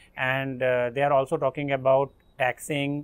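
Fairly even intonation from a male speaker. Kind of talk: interview answer. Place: garden.

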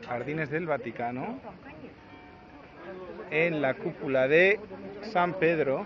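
Over noticeable background noise, a man speaks at a fairly high pitch and a very slow pace, in a dry sound with no echo. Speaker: family member filming. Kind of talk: casual talk to camera, amused interviewer. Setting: outdoors at a tourist site. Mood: relaxed, amused. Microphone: phone near.

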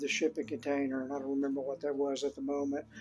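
A man is talking while faint music sounds in the background. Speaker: DIY channel host. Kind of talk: tutorial. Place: home room. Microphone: phone near.

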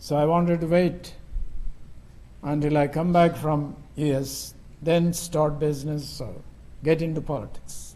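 A man's fairly high, dark, mellow voice with an Indian accent, monotone and flat, at a fairly slow pace with long, frequent pauses. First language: Telugu. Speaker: missionary preacher. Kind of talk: sermon. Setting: church. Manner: halting. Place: church.

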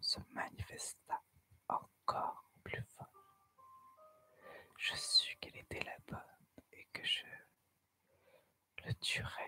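A woman whispers, speaking very slowly. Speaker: ASMR storyteller. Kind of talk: horror story narration. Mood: eerie, suspenseful. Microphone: studio mic.

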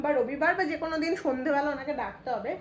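Through noticeable background noise comes a woman's high-pitched voice. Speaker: lifestyle vlogger. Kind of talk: casual vlog narration. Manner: chatty.

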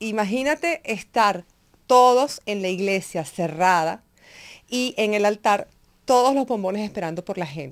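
A woman's lively intonation at a fairly slow pace, over a quiet background. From Venezuela, Upata (Bolívar state); Bolívar, Venezuela. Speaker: chocolate journalist and business owner; interview guest. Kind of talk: radio interview. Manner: animated. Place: studio. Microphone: studio mic.

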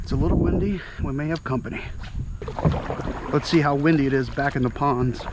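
A man talks at a fairly quick pace. Loud background noise surrounds a dry sound with no echo. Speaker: kayak angler vlogger. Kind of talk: casual vlog chat. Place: waterside. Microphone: phone near.

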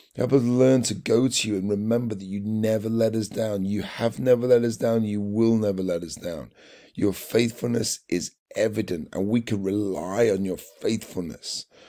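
With a British accent, a man speaks in a warm, dark, mellow tone at a fairly low pitch. His pace is moderate and his intonation fairly even. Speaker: church devotional leader. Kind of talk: devotional with fervent prayer. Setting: online video. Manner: earnest, repetitive, fervent; warm, encouraging.

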